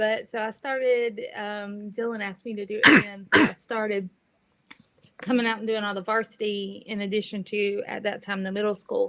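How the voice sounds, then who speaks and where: With a North Carolina accent, a bright, sharp voice speaks at a moderate pace in a monotone, flat intonation, with big swings in loudness. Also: woman, fairly high pitch for a woman. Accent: Southern US (North Carolina). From coastal North Carolina (Southport). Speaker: high school sports photographer. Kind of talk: interview. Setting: live video stream.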